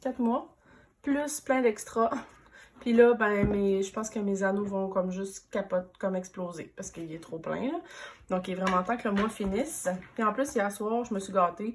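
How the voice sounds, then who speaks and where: A woman speaks in a Quebec accent at a moderate pace. Her pitch is medium, with ordinary pitch variation. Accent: Québécois French. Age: 30s. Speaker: planner vlogger. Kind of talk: casual show-and-tell vlog. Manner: hesitant, many fillers.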